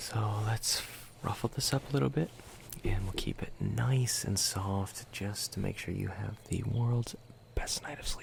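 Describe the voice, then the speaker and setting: A whisper in a calm, gentle tone comes at a fairly slow pace. Noticeable background noise sits behind it. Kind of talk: ASMR roleplay, soft spoken, speaking directly to the listener. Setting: studio microphone, binaural recording. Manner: soft-spoken, calm, gentle.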